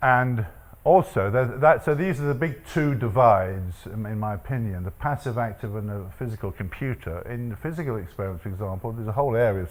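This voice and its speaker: A man speaks at a very fast pace with hardly any pauses, his fairly low pitch carrying lively intonation. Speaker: statistics professor, panelist. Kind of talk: panel talk with slides.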